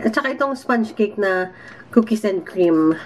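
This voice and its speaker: The voice belongs to a woman with a medium pitch. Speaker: vlogger. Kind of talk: casual vlog. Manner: soft-spoken.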